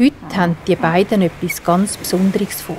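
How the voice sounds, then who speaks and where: Over music in the background, a woman talks at a fairly slow pace with a medium pitch, fairly even intonation and a calm, soothing tone. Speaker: storyteller. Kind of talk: bedtime story for children.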